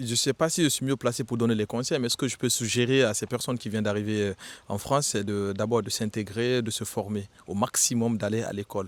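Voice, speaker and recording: The delivery is fairly quick, with fairly even intonation. The recording is very clean, with a silent background. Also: man. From Guinea. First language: Susu (speaking French). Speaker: retail worker. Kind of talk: street interview. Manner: hesitant, with fillers.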